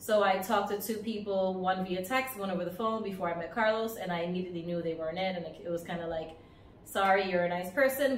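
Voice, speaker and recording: At a very fast pace, a woman with a medium pitch and fairly even intonation speaks amid audible room echo and noticeable background noise. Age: 40s. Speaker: lifestyle vlogger. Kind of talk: casual storytelling to camera. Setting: outdoors on vacation by the beach.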